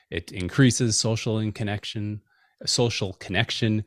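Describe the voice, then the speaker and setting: A man with an American accent speaks at a moderate pace and a fairly low pitch. The recording is very clean and dry, with a silent background and a close sound with no echo. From US Midwest. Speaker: software engineer and meditation teacher. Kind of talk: casual chat.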